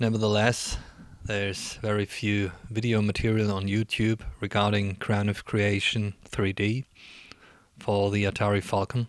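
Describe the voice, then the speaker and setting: A man with a non-native accent speaks at a fairly slow pace and fairly low pitch. His intonation is monotone and flat, his loudness very even. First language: not English. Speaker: retro gaming video creator. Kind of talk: gameplay commentary. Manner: formal.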